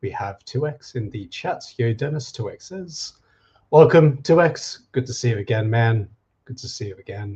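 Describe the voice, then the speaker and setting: A man of medium pitch talks at a moderate pace in a dark, mellow, somewhat breathy tone, his intonation lively and his loudness swinging widely. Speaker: occult and folklore streamer. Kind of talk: live stream talk. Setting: live stream on camera. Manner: casual, chatty.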